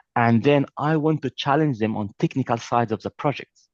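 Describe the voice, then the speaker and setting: A man talks with a non-native accent. The sound is dry and close, with no echo. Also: quiet background. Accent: noticeable foreign. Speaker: trainer. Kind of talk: lecture. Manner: animated.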